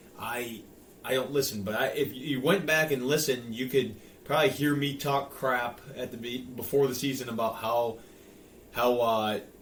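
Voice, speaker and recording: A man with a Michigan accent, medium pitch, fairly even intonation and a moderate pace, amid audible room echo. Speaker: sports podcast co-host. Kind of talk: casual chat.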